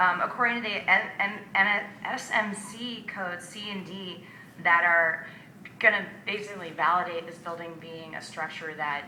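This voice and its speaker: A woman's shaky, fairly low voice with ordinary pitch variation, audible room echo and noticeable background noise. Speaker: local resident. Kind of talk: public comment speech. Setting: city hall board hearing. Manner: shaky voice.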